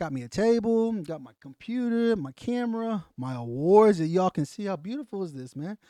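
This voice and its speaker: Fairly quick, animated speech in a Southern US accent, with very wide pitch swings, hardly any pauses and a dry, close sound free of echo. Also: man, high pitch for a man. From US South. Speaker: podcast host, Marine veteran. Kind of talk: casual podcast monologue. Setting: home studio.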